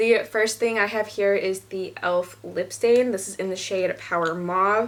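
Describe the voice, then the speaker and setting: A woman with a medium-pitched voice keeps her intonation fairly even. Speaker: beauty vlogger. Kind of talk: casual product review. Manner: fast.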